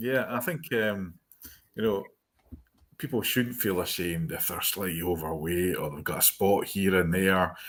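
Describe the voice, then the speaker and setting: Speaking at a moderate pace, a man with fairly low pitch uses lively intonation. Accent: Scottish Highland. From Scotland, Fort William. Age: 50s. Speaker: chat show host. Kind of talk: casual chat.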